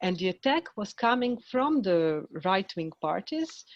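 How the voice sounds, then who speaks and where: With a Croatian accent, a woman talks at a fairly slow pace and a medium pitch, in a dry, close sound with no echo and a quiet background. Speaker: film director. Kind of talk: panel discussion. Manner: halting.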